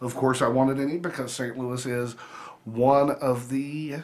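The man's intonation stays fairly even, and he keeps to a moderate pace. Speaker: food vlogger. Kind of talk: casual vlog chat. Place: home room. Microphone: phone near.

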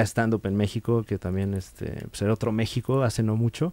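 A man's dark, mellow tone, with a dry sound, no echo and a quiet background. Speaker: podcast guest, comedian. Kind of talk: casual chat, podcast interview about comedy. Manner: conversational, laid-back, with frequent fillers and laughs. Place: studio. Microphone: studio mic.

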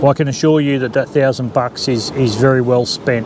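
Over noticeable background noise, a man talks at a moderate pace with monotone, flat intonation, and the sound is dry with no echo. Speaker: vehicle owner reviewing an upgrade. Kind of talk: casual vlog chat. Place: open country. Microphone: lapel.

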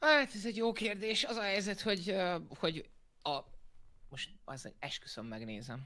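In a raised, projected voice, a man speaks at a high pitch with a bright, sharp tone and very wide pitch swings, leaving long, frequent pauses against a quiet background. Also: moderate pace. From Hungary. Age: 20s. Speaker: board game YouTuber. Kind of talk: heated debate. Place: home room.

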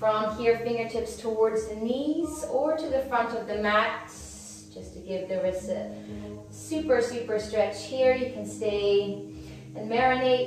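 A woman talks at a fairly slow pace with clear music behind her. The room echo is strong. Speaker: yoga instructor. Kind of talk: instruction. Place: home room.

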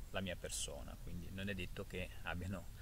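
Light background noise sits under a dry sound with no echo. The man talks at a moderate pace. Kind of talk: casual reflective vlog talk. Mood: calm, thoughtful. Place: forest. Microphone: phone near.

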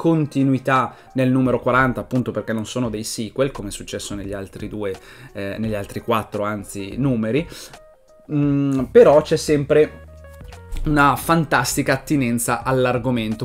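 A man talks at a moderate pace with ordinary pitch variation and big swings in loudness, while faint music plays in the background. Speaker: comic reviewer. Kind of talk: casual vlog chat. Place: home room. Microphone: webcam.

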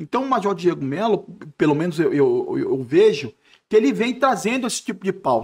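A man with a high voice speaks at a fairly slow pace, his pitch swinging very widely against a quiet background. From Brasília, Brazil. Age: 50s. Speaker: retired army officer and jiu-jitsu instructor; jiu-jitsu instructor. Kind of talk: casual interview. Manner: halting, repeats words. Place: studio. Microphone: studio mic.

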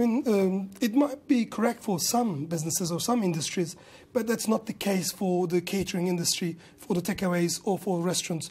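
A man talks at a fairly quick pace with a high pitch. His pitch moves in an ordinary way. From Kurdish region of Turkey. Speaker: restaurant business owner and industry campaigner. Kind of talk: news interview. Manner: halting. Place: studio. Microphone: lapel.

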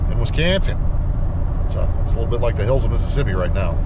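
A man speaks over loud background noise. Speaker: road trip vlogger. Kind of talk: casual vlog chat. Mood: relaxed, joking. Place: car. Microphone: phone near.

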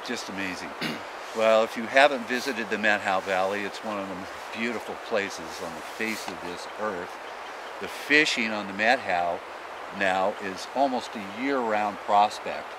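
Against noticeable background noise, a man with a fairly low pitch and fairly even intonation is heard in a dry sound with no echo. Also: moderate pace. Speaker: fishing show host. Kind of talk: TV show commentary. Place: forest.

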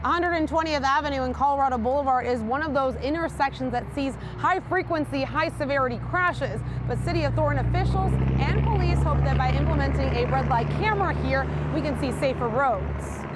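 Crowd noise fills the background as a woman speaks at a fairly quick pace in a dry recording with no echo. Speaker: TV news reporter. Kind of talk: news report. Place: street.

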